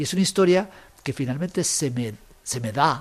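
Speaking at a fairly slow pace, a man uses a fairly high pitch with very wide swings. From Guatemala. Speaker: writer. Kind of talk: interview. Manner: halting, repeats words.

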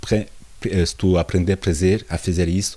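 A dark, mellow, somewhat breathy voice moves at a moderate pace with fairly even intonation. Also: man. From France, Portuguese parents. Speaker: visual artist. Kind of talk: interview. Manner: halting.

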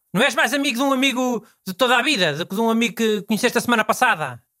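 Very fast and projected, a man's extremely high voice carries lively intonation and a bright, sharp tone in a dry, close sound with no echo. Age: 60s. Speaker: radio host. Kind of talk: casual chat.

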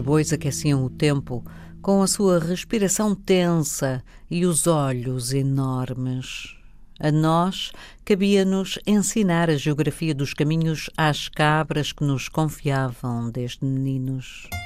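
Over a silent background in a very clean recording, the speaker talks at a very slow pace. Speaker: radio host reading poetry. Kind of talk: poetry reading. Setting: studio. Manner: slow, measured, lyrical, reflective.

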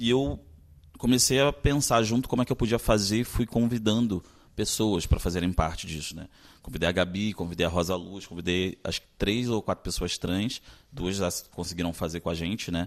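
A man uses a plain, everyday voice, fairly low in pitch with ordinary pitch variation at a moderate pace. The recording is very clean with a silent background. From Brazil, Maranhão, raised in Rio de Janeiro. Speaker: actor and director. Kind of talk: interview.

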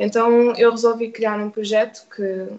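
In a fairly high pitch, a woman talks at a moderate pace. Her intonation is monotone and flat. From Portugal, Oeiras (Lisbon area). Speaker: youth community worker. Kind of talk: radio interview.

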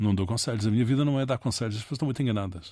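A man speaks with ordinary pitch variation in a very clean recording against a silent background. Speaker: political communication consultant. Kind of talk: interview. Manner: halting.

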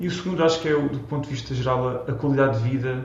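Speech at a very fast pace comes through with audible room echo and noticeable background noise. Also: man. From Portugal, Almada. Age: 30s. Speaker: Portuguese emigrant, consultant. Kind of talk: interview. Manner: halting, many repetitions.

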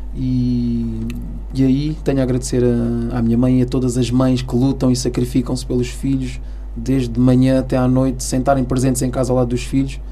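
A man talks at a moderate pace and very even loudness, with audible room echo and noticeable background noise. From Almada, Portugal (Cape Verdean parents). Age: 40s. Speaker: airline pilot. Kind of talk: interview testimony. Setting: radio studio.

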